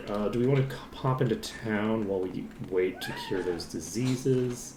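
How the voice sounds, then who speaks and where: A man with a fairly low voice speaks at a moderate pace with lively intonation over noticeable background noise. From Ireland. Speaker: video game streamer. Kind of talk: live gameplay commentary. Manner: casual, rambling with fillers.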